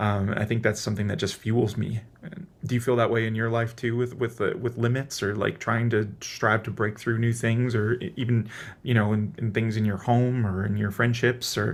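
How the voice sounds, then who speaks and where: Flat and monotone, a man with an American accent talks at a medium pitch and a moderate pace. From US Midwest, Wisconsin. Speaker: singer-songwriter and keynote speaker. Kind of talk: casual chat. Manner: halting.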